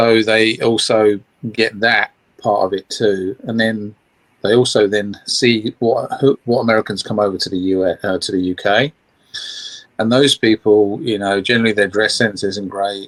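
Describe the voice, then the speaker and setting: Speaking at a moderate pace, a man with an English accent uses a fairly low pitch and fairly even intonation. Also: dry, close sound with no echo. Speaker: guest. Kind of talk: casual chat.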